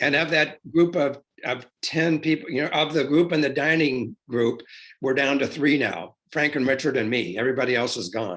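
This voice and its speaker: This is a man's voice. It has vocal fry. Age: 70s. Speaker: interviewee recalling personal history. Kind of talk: interview. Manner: halting.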